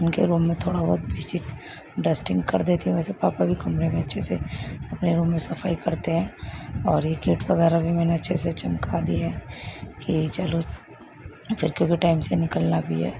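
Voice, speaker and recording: A woman talks at a very even loudness. Noticeable background noise is present. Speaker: vlogger, homemaker. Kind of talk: vlog voiceover narration.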